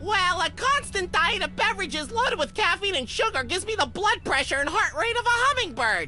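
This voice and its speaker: A put-on character voice at a fairly quick pace, with clear background noise behind it. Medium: video game. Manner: fast, excitable.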